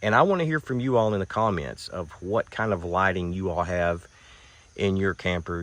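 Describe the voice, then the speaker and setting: A man with a Western Kentucky accent speaks in a very deep, low voice with ordinary pitch variation. The background is quiet. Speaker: van camping vlogger. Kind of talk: casual tutorial vlog. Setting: inside a camper van. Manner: casual, hesitant with fillers.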